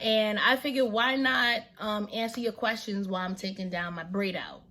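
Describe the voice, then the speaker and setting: A woman talks at a fairly high pitch. Her pitch varies in an ordinary way. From New York City. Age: 20s. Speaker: vlogger, stay-at-home mom. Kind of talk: casual Q&A vlog. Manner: casual, relaxed.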